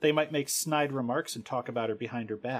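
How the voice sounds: Here is a natural reading voice. Its pitch rises and falls in an ordinary way.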